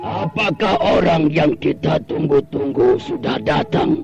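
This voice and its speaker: Over clear background music, a man uses a put-on character voice with a fairly high pitch and a fairly slow pace. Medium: old radio play. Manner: authoritative, commanding.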